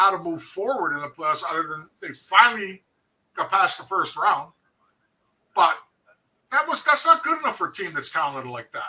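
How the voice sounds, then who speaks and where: A man with a Canadian accent speaks in a raised, projected voice, high-pitched with a bright, sharp tone, very wide pitch swings, a moderate pace, and long, frequent pauses. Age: 60s. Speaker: former hockey player, co-host. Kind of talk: casual chat.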